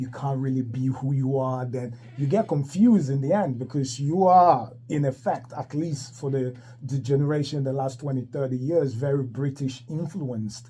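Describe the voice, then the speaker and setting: A somewhat breathy male voice of medium pitch, dark and mellow in tone. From Ghana / Ivory Coast. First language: French. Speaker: radio host. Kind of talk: radio interview.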